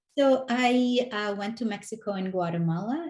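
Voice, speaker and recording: A woman speaks at a fairly slow pace in a dark, mellow, somewhat breathy tone, with ordinary pitch variation. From North Africa. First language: not English. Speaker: educator. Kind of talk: interview conversation.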